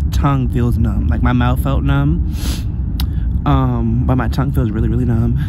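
A man speaks at a moderate pace, his voice dry with no echo, over loud background noise. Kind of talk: casual vlog chat. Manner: slurred speech, numb tongue. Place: car. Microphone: phone near.

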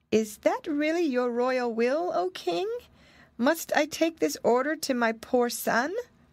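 This is a put-on character voice with a shaky sound. It moves at a fairly slow pace. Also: woman, high pitch for a woman.

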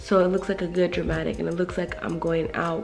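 A woman at a very fast pace, with clear music in the background. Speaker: beauty YouTuber. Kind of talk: casual talk to camera. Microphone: phone near.

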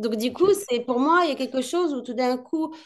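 Against a quiet background, a woman with a high voice speaks at a moderate pace with lively intonation. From Morocco, Casablanca. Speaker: film director. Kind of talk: interview. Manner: hesitant.

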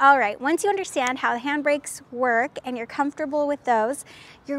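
This woman's voice sits high in pitch, with ordinary pitch variation. The sound is dry, with no echo. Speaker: presenter. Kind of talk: tutorial. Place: street. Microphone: lapel.

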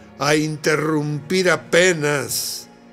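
Faint music sits in the background as a man with a fairly high pitch talks at a very slow pace. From northern Mexico, La Laguna region. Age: 80s+. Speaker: poetry reciter. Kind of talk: poetry reading. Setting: studio. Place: studio.

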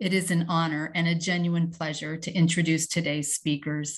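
A woman with a somewhat breathy voice talks at a moderate pace. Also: quiet background. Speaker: host introducing speakers. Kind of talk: formal speaker introduction. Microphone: video call.

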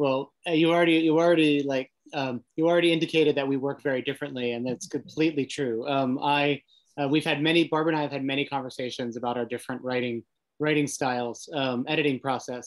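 Talking at a very fast pace, a man speaks in a fairly high pitch. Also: fairly even intonation, quiet background. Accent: American. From US, Italian American family. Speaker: novelist and writing center director; panelist. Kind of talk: panel discussion. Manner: halting, repeats words. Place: home room.

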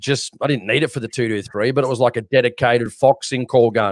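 In a quiet background, a man with an Australian accent talks very fast at a medium pitch, his intonation fairly even and the sound dry with no echo. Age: 30s. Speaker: shooting podcast co-host. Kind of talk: casual chat. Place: home room. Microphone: studio mic.

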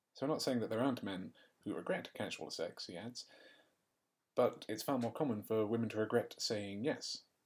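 At a medium pitch with ordinary pitch variation, a man talks at a moderate pace. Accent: English. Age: 20s. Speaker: podcast host. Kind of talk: casual chat.

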